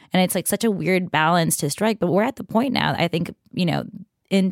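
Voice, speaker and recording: With an American accent and vocal fry, a woman talks at a fairly quick pace with lively intonation. The recording is very clean with a silent background and a dry, close sound with no echo. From Queens, New York. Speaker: tech reporter. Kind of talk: casual chat.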